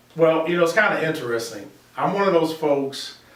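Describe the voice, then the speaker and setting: There is noticeable background noise as a man with an American accent speaks at a moderate pace with ordinary pitch variation. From US Midwest, south side of Chicago. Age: 60s. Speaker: construction company founder. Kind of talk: interview.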